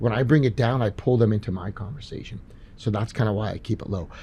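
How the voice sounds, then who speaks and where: Quiet and somewhat breathy, a man speaks at a very fast pace with a fairly low pitch, ordinary pitch variation, and a dark, mellow tone. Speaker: chiropractor and podcast host. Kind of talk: live Q&A. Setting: stage with live audience. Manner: quiet, low tone with patients.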